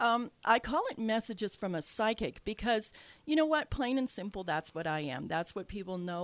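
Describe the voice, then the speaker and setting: A woman talks at a fairly quick pace. The background is silent and the recording very clean. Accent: slight Canadian. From Canada. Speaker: radio host and psychic medium. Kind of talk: radio talk show. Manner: hesitant, many fillers.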